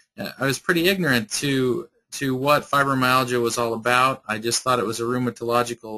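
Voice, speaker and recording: A man talks at a fairly quick pace. His pitch sits in the medium range. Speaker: chiropractor. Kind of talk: webinar presentation. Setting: online webinar from an office. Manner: fast; halting, with repetitions.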